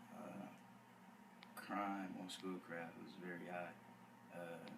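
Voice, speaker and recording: Speaking very slowly in a flat monotone, a man with a very deep, low voice is heard over noticeable background noise and audible room echo. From Detroit, Michigan. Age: 18. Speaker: college student. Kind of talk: interview. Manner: hesitant, many uh.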